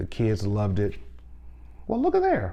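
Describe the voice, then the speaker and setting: The room gives the voice an audible echo. A man is speaking, his intonation lively. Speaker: vinyl collector and music teacher. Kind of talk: casual unboxing video. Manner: animated; speaking low.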